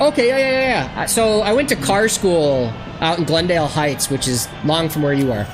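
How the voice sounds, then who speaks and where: A fairly low-pitched woman with an American accent, fairly quick and with very wide pitch swings, amid noticeable background noise and audible room echo. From Illinois, West Chicago suburbs. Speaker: gaming streamer. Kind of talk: casual chat. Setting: live stream.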